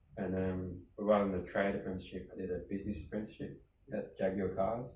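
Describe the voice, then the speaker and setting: Somewhat breathy and fairly low-pitched, a man talks at a very fast pace with fairly even intonation amid audible room echo. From Birmingham, England. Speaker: charity founder. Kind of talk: interview. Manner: conversational.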